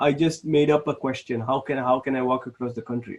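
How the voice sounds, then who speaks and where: A somewhat breathy man at a fairly quick pace against a quiet background. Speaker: programming instructor. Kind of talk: lecture. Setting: live online class. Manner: halting.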